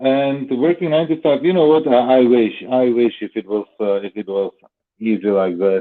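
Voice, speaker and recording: Using lively intonation, a man with a non-native accent speaks at a moderate pace. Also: medium pitch for a man. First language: not English. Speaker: stream regular. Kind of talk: casual chat. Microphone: phone headset, sounds muffled.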